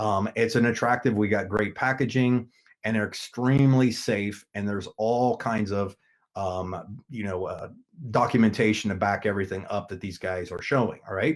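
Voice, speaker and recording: In an ordinary speaking voice, a man talks at a fairly low pitch and a moderate pace. His intonation stays fairly even, and the recording is very clean with a silent background. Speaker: network marketing team leader. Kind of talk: product presentation.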